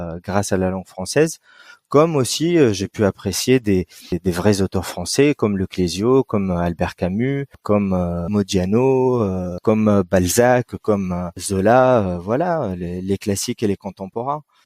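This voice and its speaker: A man's dark, mellow tone at fairly low pitch, dry and close with no echo, on a very clean recording with a silent background. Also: ordinary pitch variation, fairly slow pace. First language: Arabic (speaking French). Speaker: writer. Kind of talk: interview. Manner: hesitant, many fillers.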